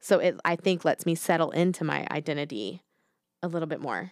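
In a very clean, dry, close recording with a silent background and no echo, an unremarkable speaking voice moves at a moderate pace with ordinary pitch variation. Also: woman. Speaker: podcast host. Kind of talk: casual chat.

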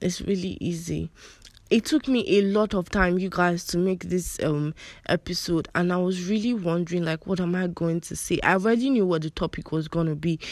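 A woman with an American accent speaks at a fairly quick pace, her pitch fairly low and her intonation fairly even. The recording is very clean, with a silent background. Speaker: solo podcast host. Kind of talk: casual faith-based monologue. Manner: conversational with fillers and laughs.

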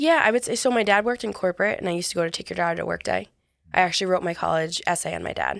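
A woman speaks at a very fast pace. She has an American accent. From US, New York. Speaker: author and entrepreneur. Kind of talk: interview.

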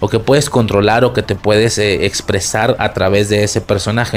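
Over noticeable background noise, a man speaks at a fairly quick pace with fairly low pitch and fairly even intonation. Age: 20s. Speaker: podcast host. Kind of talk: casual film commentary monologue. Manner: casual, profanity-laden.

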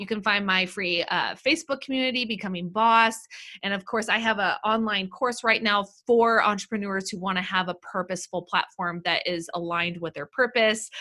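A woman talks at a fairly quick pace in a medium pitch, her tone bright and sharp and her pitch variation ordinary, on a very clean recording with a silent background. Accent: American. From Los Angeles, California. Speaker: business coach. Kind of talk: casual chat.

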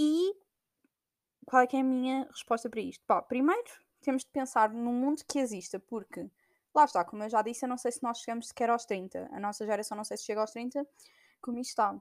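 On a very clean recording with a silent background, a woman with a European Portuguese accent talks at a fairly quick pace in a high voice with ordinary pitch variation, leaving long, frequent pauses, and the sound is dry and close with no echo. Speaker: podcaster. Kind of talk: casual monologue. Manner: hesitant, many fillers.

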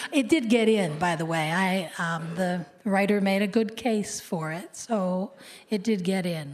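A woman with an American accent and an ordinary speaking voice speaks at a fairly slow pace. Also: medium pitch for a woman, ordinary pitch variation. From US Midwest (Cleveland, Ohio). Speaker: copy editor and author. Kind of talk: interview on stage. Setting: stage with audience.

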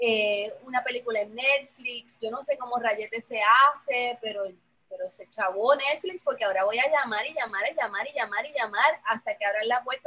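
A woman's speech, a plain, everyday voice, sits at a fairly high pitch and moves at a moderate pace. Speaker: professor and program coordinator. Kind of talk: casual chat.

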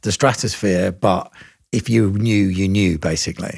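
A man with vocal fry speaks at a fairly low pitch and a moderate pace. His pitch varies in an ordinary way. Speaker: podcast host and record producer. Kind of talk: casual interview chat.

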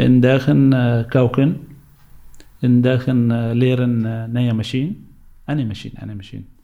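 A man with a Syrian accent and a dark, mellow tone, at a moderate pace with long, frequent pauses and fairly even intonation. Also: medium pitch for a man. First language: Arabic (speaking Dutch). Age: 40s. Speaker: refugee, bus driver. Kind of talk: interview testimony. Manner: halting.

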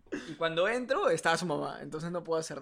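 With ordinary pitch variation, a man speaks in a bright, sharp tone. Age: 20s. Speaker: podcast co-host. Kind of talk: casual chat. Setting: home studio.

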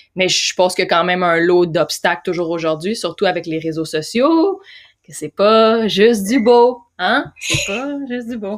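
Speaking with a Quebec accent, a woman uses lively intonation at a medium pitch and fairly slow pace. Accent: Québécois French. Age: 30s. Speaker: podcast host. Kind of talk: interview.

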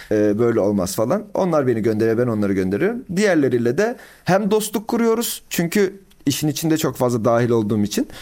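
Speaking fairly quickly with very wide pitch swings, a man is captured on a very clean recording against a silent background. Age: 20s. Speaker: growth marketing consultant. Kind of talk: casual interview. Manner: frequent filler hesitations.

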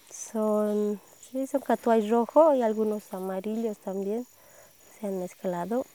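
Her tone is dark and mellow, and her pitch fairly high. The woman talks at a fairly slow pace. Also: dry, close sound with no echo. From Bolivia, El Alto (La Paz). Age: 20s. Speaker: coffee farmer. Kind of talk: interview. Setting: outdoors on a farm.

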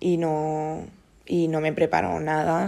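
A woman is talking here. Her voice sits very deep and low. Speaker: podcast host. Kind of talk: casual monologue. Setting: at home on the sofa. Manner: improvised, hesitant with fillers.

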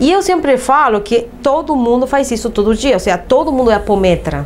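A woman at a moderate pace with very wide pitch swings, amid noticeable background noise. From Uruguay. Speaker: holistic therapist. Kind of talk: interview.

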